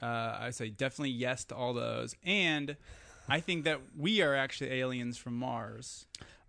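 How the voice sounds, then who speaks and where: A man with an Upper Midwest accent, medium in pitch. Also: ordinary pitch variation, moderate pace. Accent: Upper Midwest American. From US Midwest, west central Wisconsin. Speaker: documentary filmmaker and podcaster. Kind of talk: casual chat.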